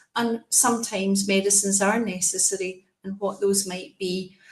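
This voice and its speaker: A woman talks with a Scottish accent at a medium pitch and a moderate pace. Her voice is somewhat breathy, with monotone, flat intonation. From Scotland. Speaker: specialist nurse. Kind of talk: presentation.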